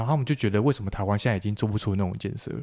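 A man speaks with a fairly low pitch. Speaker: podcast host, civil engineer. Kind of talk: interview.

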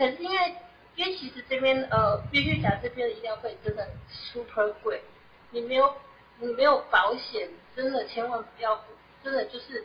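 A woman with a high pitch and lively intonation speaks at a moderate pace, with big swings in loudness and long, frequent pauses. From Taiwan. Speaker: SAP consultant. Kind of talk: interview. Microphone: too quiet at first.

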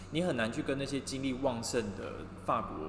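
A man talks at a moderate pace. Audible room echo and noticeable background noise accompany him. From Taiwan. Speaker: podcast co-host, fashion industry worker. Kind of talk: casual chat. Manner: light, cheerful.

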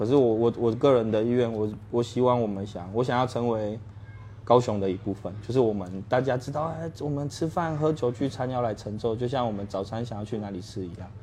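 Speaking at a fairly quick pace, a man uses a medium pitch with ordinary pitch variation. His tone is dark and mellow. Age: 30s. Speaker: bar owner. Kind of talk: interview.

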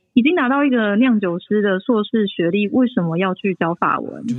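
With lively intonation and a fairly high pitch, a woman with an unremarkable speaking voice talks at a moderate speed. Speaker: winemaker. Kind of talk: casual interview. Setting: remote call from France.

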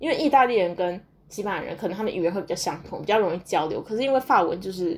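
Her pitch medium and her intonation lively, a woman speaks at a very fast pace. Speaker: podcaster and graduate student abroad. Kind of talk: casual solo monologue. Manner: hesitant with many fillers.

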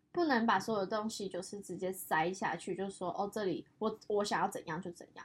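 With a Taiwanese accent, a woman talks in an animated, somewhat breathy tone, barely pausing while her loudness swings widely. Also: medium pitch for a woman, ordinary pitch variation, fairly quick pace. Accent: Taiwanese Mandarin. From Taiwan, Yunlin (Huwei). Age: 20s. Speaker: podcast co-host, design student background. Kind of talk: casual chat. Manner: animated, laughing often.

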